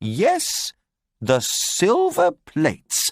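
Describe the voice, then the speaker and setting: A man's high-pitched, put-on character voice, with a dry, close sound and no echo. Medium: read story. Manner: warm, gentle.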